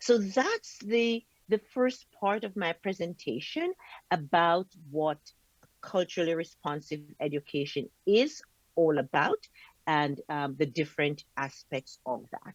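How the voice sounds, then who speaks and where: Lively intonation in a Jamaican accent, with a dry, close sound and no echo. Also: woman, fairly low pitch for a woman, fairly slow pace. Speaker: professor. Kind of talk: lecture. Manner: slow and deliberate.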